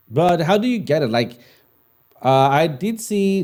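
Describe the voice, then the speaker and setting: Speaking with a non-native accent, a man uses a dark, mellow tone, very wide pitch swings and a fairly slow pace. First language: not English. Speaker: crypto trading livestream host. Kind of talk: live Q&A stream. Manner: casual, hesitant with fillers.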